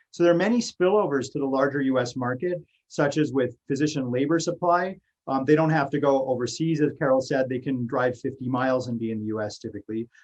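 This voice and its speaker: Talking at a very fast pace, a man uses a fairly high voice with ordinary pitch variation. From Canada. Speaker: economics researcher. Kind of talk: academic talk. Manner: hesitant, many fillers.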